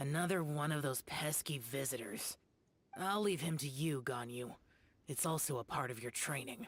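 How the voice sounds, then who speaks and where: A man puts on a character voice at a fairly high pitch. He keeps a moderate pace, with ordinary pitch variation. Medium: video game. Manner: curt, cold.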